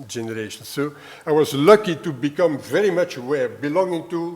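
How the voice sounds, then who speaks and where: A man with a southern Dutch accent speaks at a moderate pace with lively intonation over noticeable background noise. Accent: southern Dutch-speaker. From Belgium (Flanders). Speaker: retired history professor. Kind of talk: lecture. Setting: university lecture hall. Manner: hesitant, many fillers.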